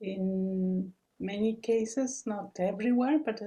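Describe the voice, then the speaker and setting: A woman speaks very slowly in a dark, mellow, somewhat breathy tone. Her intonation stays fairly even. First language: not English. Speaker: researcher, webinar speaker. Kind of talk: Q&A answer in webinar.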